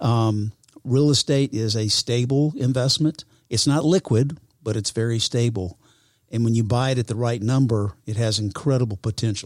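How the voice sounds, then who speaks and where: A man speaks at a moderate pace with a medium pitch, ordinary pitch variation and an unremarkable speaking voice. The recording is very clean, with a silent background and a dry, close sound with no echo. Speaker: real estate professional. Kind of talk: casual interview. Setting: studio.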